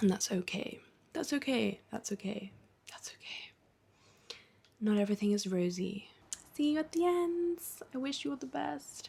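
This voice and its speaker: A woman's somewhat breathy voice, fairly high and dark and mellow in tone, with very wide pitch swings. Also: moderate pace. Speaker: lifestyle vlogger. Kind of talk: personal video diary. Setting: at home. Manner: whispering.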